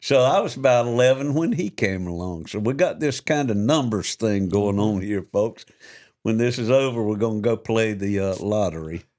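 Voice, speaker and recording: A man's medium-pitched voice with ordinary pitch variation, at a moderate pace, in a very clean recording with a silent background. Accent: Georgia. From South Georgia, US South. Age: 60s. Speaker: podcast co-host. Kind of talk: casual interview chat.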